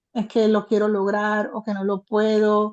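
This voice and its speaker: Against a quiet background, a woman talks at a fairly high pitch in a dark, mellow tone. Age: 60s. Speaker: participant in online training session. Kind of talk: casual chat. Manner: halting.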